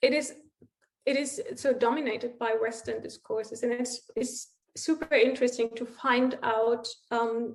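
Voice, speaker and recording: A woman speaks at a fairly high pitch and a fairly slow pace. Her intonation is monotone and flat. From East Germany. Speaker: sociologist and writer, guest speaker. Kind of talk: Q&A after a talk. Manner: halting, many fillers.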